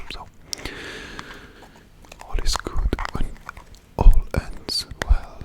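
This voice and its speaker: Over noticeable background noise, a man whispers in a calm tone. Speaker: ASMR creator. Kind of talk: ASMR talk to camera. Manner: soft-spoken, calm.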